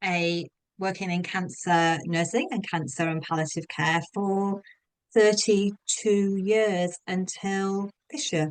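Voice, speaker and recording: A woman's medium-pitched voice with a slight Australian accent, very slow pace and ordinary pitch variation. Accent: English with slight Australian twang. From England. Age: 50s. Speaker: health coach and former nurse. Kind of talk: interview.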